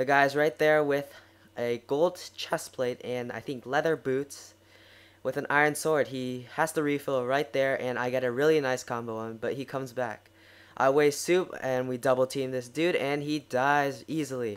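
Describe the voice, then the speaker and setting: An unremarkable speaking voice, this man talks at a medium pitch with fairly even intonation. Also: moderate pace, very clean recording, silent background. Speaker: gaming commentator. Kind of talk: gameplay commentary. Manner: casual.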